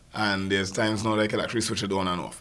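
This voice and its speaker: There is noticeable background noise as a man talks with a Trinidadian accent. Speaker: comedian and media personality. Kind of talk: panel discussion.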